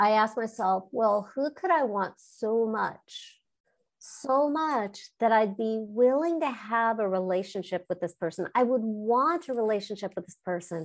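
An ordinary speaking voice from a woman, fairly high in pitch, with lively intonation, big swings in loudness and a fairly slow pace, on a very clean recording with a silent background. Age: 50s. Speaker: life coach and author. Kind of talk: interview.

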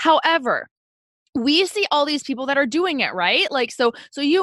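The raised, projected voice sounds bright and sharp, swinging very widely in pitch at a moderate pace, with a dry, close sound and no echo. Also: woman. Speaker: podcast co-host. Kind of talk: casual chat; scripted ad read.

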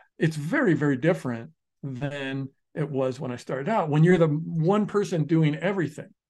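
Against a quiet background, a man with an American accent and an unremarkable speaking voice talks fairly slowly, fairly high in pitch with ordinary pitch variation. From US. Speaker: podcast co-host, online business expert. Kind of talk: casual chat.

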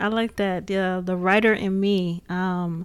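On a very clean recording with a silent background, a woman with an American accent speaks at a fairly slow pace in a plain, everyday voice of medium pitch. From US Midwest, Gary, Indiana. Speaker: podcast host. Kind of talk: casual chat. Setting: studio.

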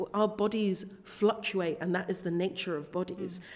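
A woman with a southern English accent, medium-pitched, at a moderate pace with ordinary pitch variation. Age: 20s. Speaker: body acceptance coach and plus size model. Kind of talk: interview.

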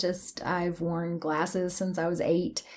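A woman with an East Tennessee accent. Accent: Southern US (East Tennessee). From East Tennessee (Athens). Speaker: teacher and patient guest. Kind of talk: interview.

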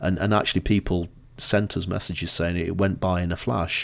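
On a very clean recording with a silent background, a man with a northern English accent speaks in a very deep, low pitch with monotone, flat intonation. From northern England, Blackpool. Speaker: marketing consultant and author. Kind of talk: podcast interview.

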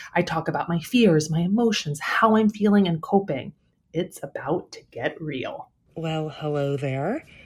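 A woman's fairly low, somewhat breathy voice, with lively intonation and a fairly slow pace. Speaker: podcast host. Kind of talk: personal diary monologue. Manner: halting, many fillers.

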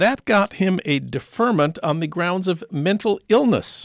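A man talks at a moderate pace with a high pitch and lively intonation, in an American accent. The background is quiet. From US Midwest, St. Paul, Minnesota. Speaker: radio host. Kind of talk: radio interview. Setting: radio studio.

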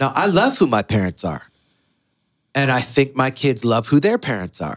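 In a very clean recording with a silent background, a man with an American accent talks at a medium pitch and a moderate pace, the sound dry and close with no echo. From US inner city. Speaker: pastor. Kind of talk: podcast interview conversation.

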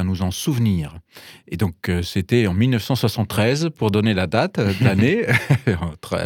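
With a German accent, a man with a fairly low voice speaks in lively intonation, recorded dry and close with no echo on a very clean recording with a silent background. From Germany, Bavaria. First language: German (speaking French). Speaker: pastor. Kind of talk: radio interview. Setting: radio studio. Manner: halting with many repetitions.

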